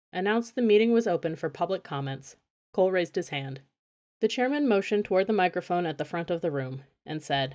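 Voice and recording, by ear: With lively intonation and a quiet background, the speaker is reading aloud in a natural voice.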